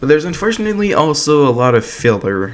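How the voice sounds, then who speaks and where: Very fast speech over noticeable background noise. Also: man. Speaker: video game commentator. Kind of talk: casual video essay commentary.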